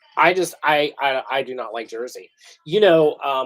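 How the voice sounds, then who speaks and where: A man with an American accent. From US Mid-Atlantic, eastern shore of Maryland. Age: 50s. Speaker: tarot reader. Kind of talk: live stream reading, casual chat with viewers. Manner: fast; animated.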